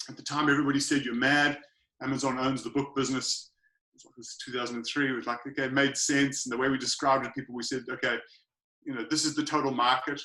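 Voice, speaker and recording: Talking at a very fast pace with an American accent, a man uses a medium pitch, a monotone, flat intonation and a bright, sharp tone, with big swings in loudness. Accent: funny accent (to American listeners). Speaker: online retail entrepreneur. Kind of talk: podcast interview. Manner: casual, many fillers (um, uh).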